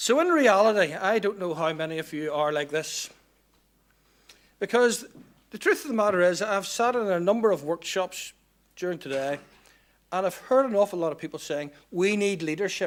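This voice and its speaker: With a Northern Irish accent, this speaker talks at a moderate pace with lively intonation and long, frequent pauses. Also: man, high pitch for a man. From Northern Ireland, Belfast/Lisburn. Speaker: public sector procurement speaker. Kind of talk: conference talk.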